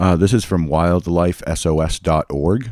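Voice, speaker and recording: In a very clean recording with a silent background, a dark, mellow voice with an American accent comes through dry and close, with no echo. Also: man. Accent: Boston accent comes back at times. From Massachusetts. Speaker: podcast host. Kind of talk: casual chat.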